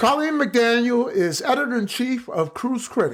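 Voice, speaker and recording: Speaking with a Brooklyn accent, a man has a high pitch. His pace is moderate. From Brooklyn, New York. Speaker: podcast host. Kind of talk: podcast interview intro.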